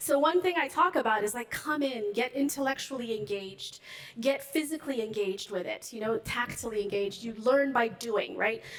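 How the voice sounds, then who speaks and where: Through noticeable background noise, a woman with a high pitch talks at a fairly quick pace with lively intonation. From Ethiopia. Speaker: finance executive. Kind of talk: panel interview on stage. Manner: fast.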